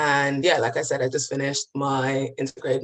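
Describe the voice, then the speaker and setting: At a fairly quick pace, a woman speaks with a London accent. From East London, England (born in the Gambia). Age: 20s. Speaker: physics graduate sharing lived experience. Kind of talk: personal testimony.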